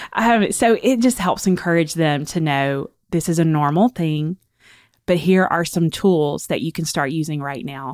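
In a Southern US accent, a woman with a fairly low pitch speaks at a moderate pace with lively intonation, on a very clean recording with a silent background. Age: 40s. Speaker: author and speaker. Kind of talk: personal testimony in interview.

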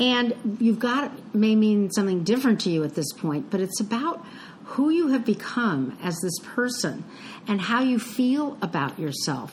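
Noticeable background noise around a woman with fairly high pitch, moderate pace and very wide pitch swings. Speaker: podcast co-host. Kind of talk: casual chat.

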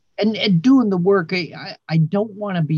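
A somewhat breathy male voice. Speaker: poet and writer. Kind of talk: casual interview chat.

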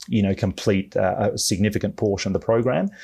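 A man's fairly low voice with an Australian accent, in a very clean recording over a silent background. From Melbourne, Australia. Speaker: veterinarian. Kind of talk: podcast interview.

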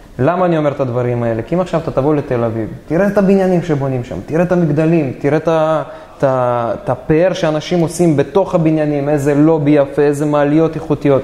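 Very fast, fairly high-pitched speech from a man, ordinary in its pitch movement, with noticeable noise behind it. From Israel, Dimona. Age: 20s. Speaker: real estate investor. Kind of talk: interview.

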